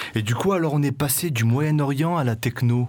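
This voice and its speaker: A man with a normal speaking voice at a moderate pace, lively in intonation, in a very clean recording with a silent background. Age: 20s. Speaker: community radio host. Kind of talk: radio show with music presentation. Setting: radio studio.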